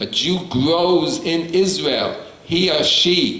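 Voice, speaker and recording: Noticeable background noise and audible room echo surround the recording. A man speaks in a high pitch. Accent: New York. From US Northeast, New York City (Bronx). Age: 70s. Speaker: rabbi. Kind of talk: lecture.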